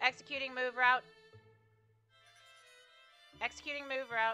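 Faint music plays behind a put-on character voice pitched fairly high and delivered at a moderate pace. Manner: harsh robotic.

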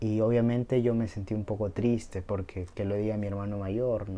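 A man speaks with a fairly low pitch and a dark, mellow tone. His intonation is monotone and flat, at a fairly slow pace. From Peru. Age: 20s. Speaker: YouTuber, medical student. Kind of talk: motivational talk to camera. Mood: warm, encouraging. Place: home room. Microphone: lapel.

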